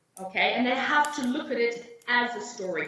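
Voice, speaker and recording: In a South African accent, a woman speaks at a moderate pace in a high pitch with ordinary pitch variation, with audible room echo and noticeable background noise. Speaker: English teacher trainer and exam invigilator. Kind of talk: teacher training webinar.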